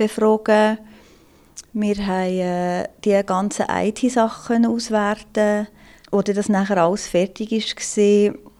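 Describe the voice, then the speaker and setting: Her voice is fairly high-pitched, with a dark, mellow tone. This woman speaks with monotone, flat intonation. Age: 30s. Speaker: police investigator. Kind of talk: interview.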